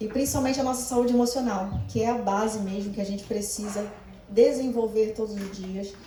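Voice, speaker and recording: A woman speaks at a fairly high pitch with fairly even intonation. Noticeable background noise and audible room echo are present. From Brazil, Rio de Janeiro. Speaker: life coach and therapist. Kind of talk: church talk / motivational lecture.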